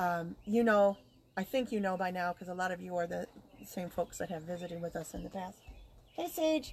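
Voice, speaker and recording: A woman's medium-pitched, somewhat breathy voice. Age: 50s. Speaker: podcast co-host, spiritual practitioner. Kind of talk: casual live-stream chat. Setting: outdoors.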